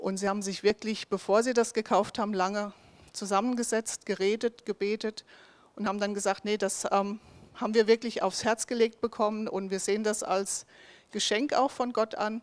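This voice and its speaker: The speech comes at a moderate pace in a flat monotone, with a dry, close sound and no echo. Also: woman, fairly high pitch for a woman. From southern Hesse, Germany (Bensheim area). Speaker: ministry worker presenting a mission project. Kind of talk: project presentation.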